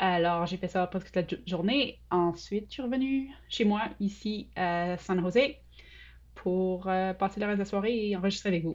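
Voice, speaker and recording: Against a quiet background, a woman talks at a moderate pace and a medium pitch, with ordinary pitch variation. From Quebec City, Sainte-Foy. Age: 40s. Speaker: UX researcher. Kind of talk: interview.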